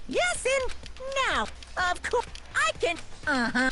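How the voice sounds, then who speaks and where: A put-on character voice with an extremely high pitch goes at a fairly slow pace. Clear background noise runs underneath. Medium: video game. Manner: short exclamatory barks.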